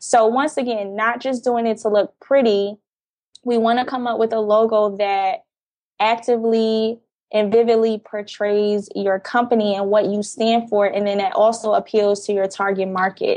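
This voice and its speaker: Fairly high in pitch, a woman with an ordinary speaking voice and an American accent talks at a moderate pace with fairly even intonation. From New Jersey, Jersey City. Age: 20s. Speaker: graphic design business owner. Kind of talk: interview.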